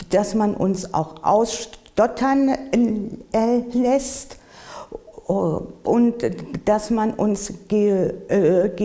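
A woman at a very slow pace, with long, frequent pauses, ordinary pitch variation and a quiet background. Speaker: person who stutters, interviewee. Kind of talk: interview answer. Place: home room.

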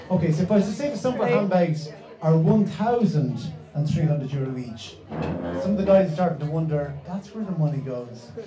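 A man speaks at a moderate pace, with audible room echo and light background noise behind him. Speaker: event host. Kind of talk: stage introduction. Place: stage. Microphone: handheld.

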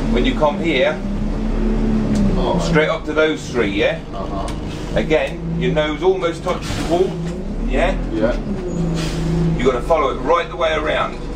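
A man speaks at a fairly slow pace with long, frequent pauses against loud background noise. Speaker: bus driver trainer. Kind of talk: driving instruction commentary. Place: bus. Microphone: phone near.

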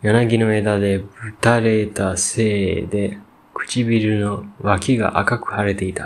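The speaker is reading aloud in a natural voice.

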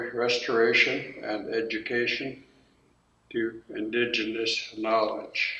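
Audible room echo surrounds speech delivered at a very slow pace. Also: man. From Songhees lands, Victoria, British Columbia, Canada. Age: 70s. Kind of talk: territory acknowledgement and prayer. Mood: calm, solemn, measured. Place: hall. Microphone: camera far.

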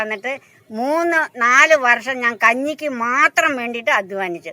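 Ordinary pitch variation runs through a voice with a bright, sharp tone. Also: woman. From Kerala, Kothamangalam (Ernakulam). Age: 60s. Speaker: manual laborer. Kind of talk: interview.

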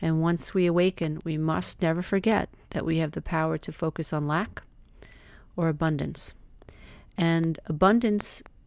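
Speaking at a fairly slow pace, a woman uses a fairly low pitch and fairly even intonation. The recording is very clean, with a silent background. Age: 50s. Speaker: life coach. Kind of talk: monologue podcast, motivational self-help talk; guided visualization.

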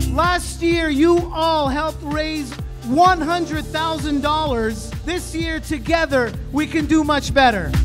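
The speech moves at a very slow pace. Clear music plays in the background. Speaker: event host. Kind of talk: charity event welcome speech. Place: hall.

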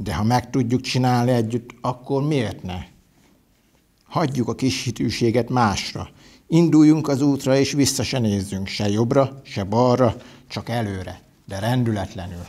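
The voice is dark and mellow in tone, moving at a fairly slow pace with ordinary pitch variation. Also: man. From Hungary, Hajdúnánás; Hungary. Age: 40s. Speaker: parliamentary candidate; candidate. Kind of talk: campaign speech. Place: studio. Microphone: lapel.

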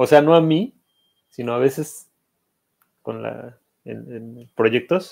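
Speaking very slowly, a man leaves long pauses again and again. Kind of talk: casual chat.

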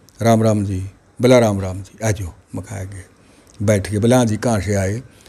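A man at a fairly low pitch and fairly slow pace, monotone and flat in intonation, with long, frequent pauses and big swings in loudness. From Haryana, India. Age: 70s. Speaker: village elder, grandfather of a top student; interviewee. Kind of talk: interview. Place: home room. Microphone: handheld.

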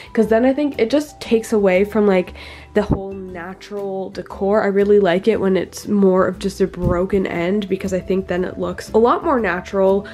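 Noticeable background noise sits under a woman's medium-pitched voice, which keeps a moderate pace and fairly even intonation. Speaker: reptile keeper vlogger. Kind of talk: casual video haul. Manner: casual, rambling with fillers.

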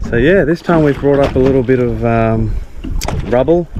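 The sound is dry and has no echo. A man talks with noticeable background noise behind him. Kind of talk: casual vlog chat. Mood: cheerful, upbeat. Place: boat. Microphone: phone near.

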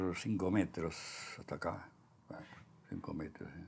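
A dark, mellow tone in a Montevideo accent. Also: man. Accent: Rioplatense Spanish (Montevideo). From Uruguay. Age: 90s. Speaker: sculptor; interviewee. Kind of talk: casual chat. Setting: artist's workshop. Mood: calm, reflective.

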